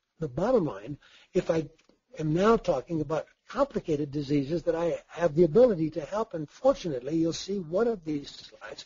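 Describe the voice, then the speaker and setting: This man's voice sits high in pitch. He talks at a fairly quick pace with lively intonation. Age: 70s. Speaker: physician and supplement consultant. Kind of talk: lecture.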